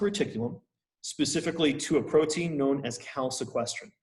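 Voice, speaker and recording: A man's somewhat breathy, fairly high voice carries ordinary pitch variation. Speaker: university lecturer. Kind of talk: lecture. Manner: casual.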